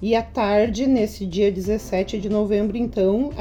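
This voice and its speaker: Over background music, a woman speaks fairly slowly at a medium pitch. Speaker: teacher and education adviser. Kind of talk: interview. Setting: podcast recording.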